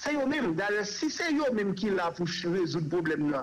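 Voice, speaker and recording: Against noticeable background noise, a man with a Haitian accent speaks with ordinary pitch variation. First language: Haitian Creole (speaking French). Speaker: human rights organization director. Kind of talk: radio interview.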